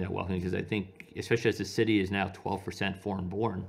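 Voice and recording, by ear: In an American accent, a man speaks at a fairly quick pace. His low voice keeps fairly even intonation.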